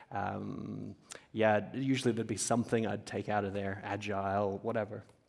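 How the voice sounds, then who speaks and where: Vocal fry runs through this man's fairly low voice. He keeps a moderate pace and monotone, flat intonation. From Papua New Guinea. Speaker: entrepreneur, company founder. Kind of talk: on-stage interview. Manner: many fillers, halting.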